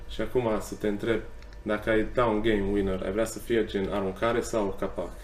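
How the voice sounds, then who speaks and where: Over audible room echo, a man talks at a moderate pace in a fairly low, flat, monotone voice with vocal fry. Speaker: podcast host. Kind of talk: casual chat. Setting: pub.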